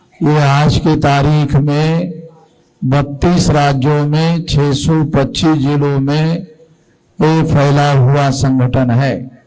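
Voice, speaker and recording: A fairly high-pitched male voice, monotone and flat, at very even loudness, with audible room echo. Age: 60s. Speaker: activist leader. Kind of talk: political speech.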